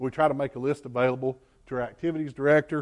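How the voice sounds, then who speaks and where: The setting is quiet. A man is talking very fast. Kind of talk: presentation to a church congregation. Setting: church.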